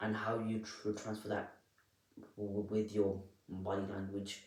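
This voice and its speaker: Somewhat breathy and fairly low in pitch, a man speaks at a fairly slow pace with audible room echo. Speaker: self-help vlogger. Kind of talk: unscripted tutorial. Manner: soft-spoken; halting, repetitive.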